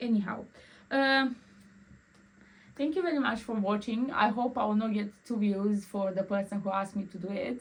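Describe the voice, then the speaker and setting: Somewhat breathy and fairly high-pitched, a woman with a Romanian accent speaks at a moderate pace with ordinary pitch variation and long, frequent pauses. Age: 20s. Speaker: vlogger. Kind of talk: casual personal vlog. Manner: halting, repeats words.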